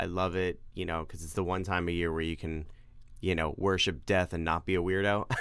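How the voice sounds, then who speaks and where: With an American accent, a man with a very deep, low pitch speaks at a fairly quick pace in a monotone, flat delivery, on a very clean recording with a silent background. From New York. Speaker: podcast co-host. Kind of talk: casual chat.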